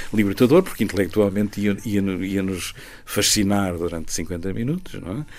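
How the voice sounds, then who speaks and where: An unremarkable speaking voice from a man, fairly low in pitch, at a moderate pace with ordinary pitch variation. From Portugal, Ribatejo (Riachos). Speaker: singer-songwriter. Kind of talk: interview.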